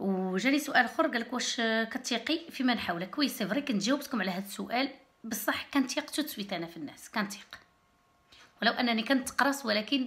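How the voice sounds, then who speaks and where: A woman speaks with a high pitch and ordinary pitch variation. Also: moderate pace. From Morocco, Berrechid; Morocco. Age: 30s. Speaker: YouTuber; vlogger. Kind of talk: casual vlog talk to camera. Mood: relaxed, friendly. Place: home room. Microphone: phone near.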